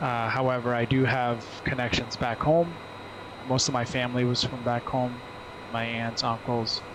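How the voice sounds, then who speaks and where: A relaxed man with a New Jersey accent, medium pitch and a moderate pace, with noticeable background noise. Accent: New Jersey American English. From US, New Jersey. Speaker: flight sim streamer and flight attendant. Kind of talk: casual live stream chat. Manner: relaxed, hesitant with fillers.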